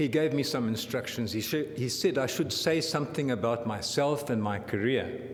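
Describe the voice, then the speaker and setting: A man talks at a moderate pace with hardly any pauses, his medium pitch varying in an ordinary way. Noticeable background noise and audible room echo accompany him. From Southern Africa (born Zambia, raised Southern Cape). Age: 70s. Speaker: professor of anesthesiology. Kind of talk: lecture.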